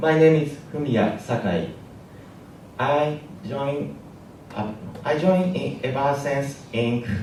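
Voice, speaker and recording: The man's voice sits at a medium pitch with ordinary pitch variation. Noticeable background noise and audible room echo come through. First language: Japanese. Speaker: app engineer. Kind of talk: conference talk. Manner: halting.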